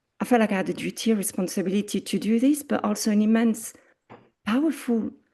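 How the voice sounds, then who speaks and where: Somewhat breathy and dark, mellow in tone, a woman with a French accent speaks fairly quickly at a fairly high pitch with ordinary pitch variation against a quiet background. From France. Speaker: arts coordinator. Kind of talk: presentation.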